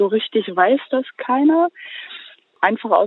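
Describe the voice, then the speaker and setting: A woman draws out her words very slowly, her intonation lively. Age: 20s. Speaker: animal welfare volunteer. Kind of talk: casual interview. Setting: phone call, outdoors in the countryside.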